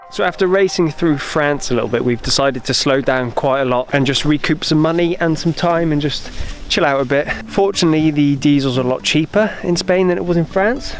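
A man at a fairly quick pace with hardly any pauses, ordinary pitch variation and very even loudness, the sound dry with no echo and faint music in the background. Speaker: travel vlogger. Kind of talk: casual vlog chat. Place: open country. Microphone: phone near.

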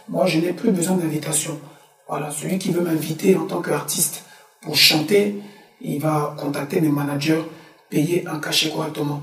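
A man with a fairly high voice speaks at a moderate pace with ordinary pitch variation, leaving long, frequent pauses, and audible room echo can be heard. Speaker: musician; guest. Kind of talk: interview. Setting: studio. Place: studio.

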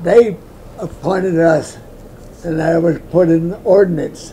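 A man speaks at a very slow pace in a high voice. Light background noise is present. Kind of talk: interview answer.

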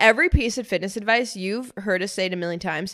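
A woman speaks with lively intonation against a quiet background. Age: 20s. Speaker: podcast co-host. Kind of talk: casual chat. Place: studio. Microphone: studio mic.

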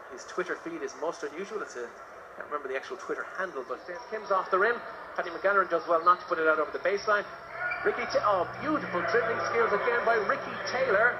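Noticeable background noise sits behind a man talking very fast in an excited tone. His pitch runs high and swings very widely. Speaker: basketball commentator. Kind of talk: live sports commentary. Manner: fast, excited play-by-play; crisp, rising on big scores.

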